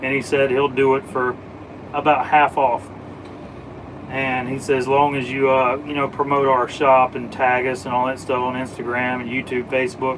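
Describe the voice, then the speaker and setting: A man with an American accent at medium pitch, monotone and flat, at a moderate pace over noticeable background noise. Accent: Southern, slight, stronger when drinking. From US South. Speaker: automotive live streamer. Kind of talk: casual live stream chat. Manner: casual.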